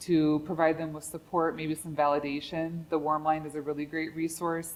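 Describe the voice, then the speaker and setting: A woman's very deep, low voice in monotone, flat intonation at a moderate pace, with big swings in loudness and music in the background. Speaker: mental health crisis worker. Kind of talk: presentation with Q&A.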